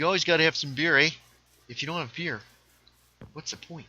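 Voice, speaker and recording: In a put-on character voice with a Canadian accent, a man talks raspily at a very fast pace and fairly high pitch, with big swings in loudness. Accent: Canadian, faux. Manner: jokey, exaggerated.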